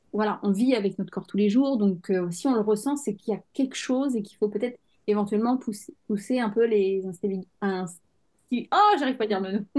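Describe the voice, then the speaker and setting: In a plain, everyday voice, a woman with a fairly high pitch speaks at a fairly quick pace, barely pausing, with ordinary pitch variation. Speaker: podcast host, endometriosis coach. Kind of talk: interview host talk.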